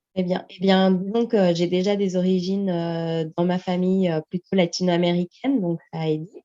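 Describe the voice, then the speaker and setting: In a Portuguese accent, a woman speaks at a fairly slow pace with a fairly low pitch and fairly even intonation. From France. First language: Portuguese (speaking French). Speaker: language teacher. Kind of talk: interview. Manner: hesitant, many fillers.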